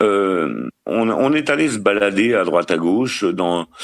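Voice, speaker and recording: Speaking with a normal speaking voice, a man at a fairly low pitch uses lively intonation. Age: 50s. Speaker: caller to a relationship advice show. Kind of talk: casual chat.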